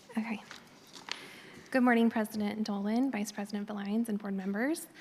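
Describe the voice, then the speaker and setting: With a fairly high pitch and fairly even intonation, a woman moves at a fairly quick pace through noticeable background noise. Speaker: government environmental scientist. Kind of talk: formal presentation. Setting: public board meeting in auditorium.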